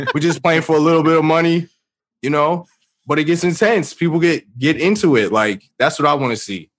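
A man with an American accent speaks at a fairly high pitch with ordinary pitch variation. He has a plain, everyday voice. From New York, the Bronx. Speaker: baseball commentator. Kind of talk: casual chat.

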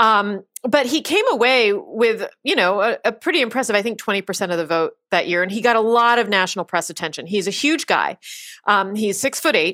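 Bright and sharp in tone, a woman speaks with an American accent and lively intonation. Her pace is fairly quick, on a very clean recording with a silent background. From Pennsylvania, US. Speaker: magazine writer. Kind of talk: casual interview chat. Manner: fast talker.

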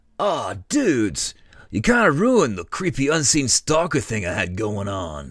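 In a very clean recording with a silent background, a man puts on a character voice at a medium pitch and a moderate pace. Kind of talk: comic overacting. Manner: laid-back surfer-dude slang, mellow.

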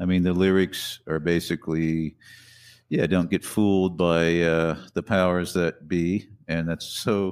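Monotone, flat intonation and very even loudness come through on a very clean recording with a silent background. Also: man, very deep, low pitch for a man. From US Midwest. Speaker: guitarist and singer. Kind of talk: casual interview chat.

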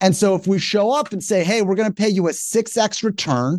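A man at a moderate pace, energetic in tone, in a dry, close sound with no echo. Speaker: company founder and CEO. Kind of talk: interview conversation.

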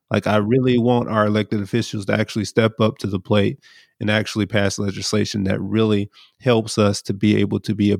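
A man with a normal speaking voice and an American accent, fairly low in pitch, fairly quick, with fairly even intonation, on a very clean recording with a silent background and a dry, close sound with no echo. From US South, Brunswick, Georgia. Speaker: leader of a justice organization. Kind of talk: casual chat.

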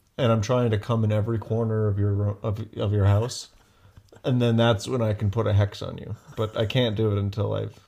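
A man with a fairly low, dark, mellow voice speaks somewhat breathily in a monotone, flat intonation. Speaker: podcast co-host. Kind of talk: casual chat. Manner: soft-spoken.

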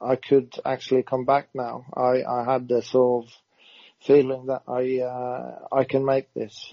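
The speaker talks at a fairly slow pace with a Norwegian accent. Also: man. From Norway. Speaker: retired footballer. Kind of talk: interview.

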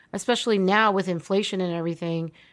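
A woman talks at a fairly quick pace with fairly even intonation and a normal speaking voice. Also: quiet background. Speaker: podcast host. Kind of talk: casual chat. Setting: remote recording.

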